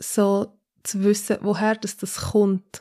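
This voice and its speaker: A woman with a medium-pitched voice and monotone, flat intonation is heard on a very clean recording with a silent background. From Switzerland, Zürcher Oberland. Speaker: pastor. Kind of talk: casual interview.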